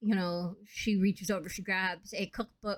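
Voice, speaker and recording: A woman with a medium-pitched voice talks at a moderate pace. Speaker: gaming youtuber. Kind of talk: voice-over commentary on a speed build. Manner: casual, halting with fillers.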